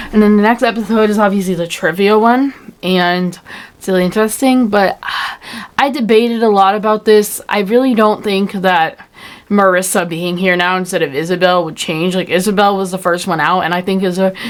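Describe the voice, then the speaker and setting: A woman mumbles at a fairly quick pace, her medium pitch moving with ordinary variation. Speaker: fan commentary youtuber. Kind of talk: casual video commentary. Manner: mumbling; halting, many fillers.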